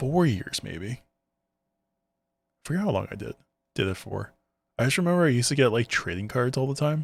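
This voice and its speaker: The delivery moves at a fairly quick pace, broken by long, frequent pauses, with very wide pitch swings. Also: man, medium pitch for a man. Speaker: streamer playing a video game. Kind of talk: live gameplay commentary. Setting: livestream. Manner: stutters when talking fast; casual, conversational.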